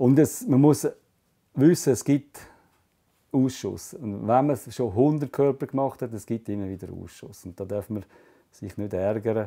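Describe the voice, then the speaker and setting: Speaking fairly slowly with a Swiss German accent, the man has a dark, mellow tone and lively intonation. He pauses long and often against a quiet background. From Switzerland. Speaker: fly tying artist. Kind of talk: hands-on craft demonstration. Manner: casual, explanatory. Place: workshop.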